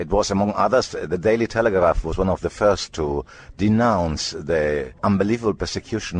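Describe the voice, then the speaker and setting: Over a quiet background, a man with vocal fry speaks at a moderate pace at a very deep, low pitch with ordinary pitch variation. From Italy. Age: 70s. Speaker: journalist. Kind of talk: interview answer.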